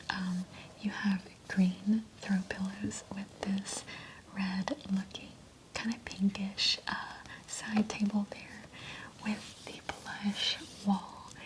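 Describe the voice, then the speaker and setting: Whispering in a calm tone, a woman talks at a very slow pace with long, frequent pauses and big swings in loudness, over noticeable background noise. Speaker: ASMR creator. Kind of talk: ASMR roleplay, paint consultation. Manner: soft-spoken, calm.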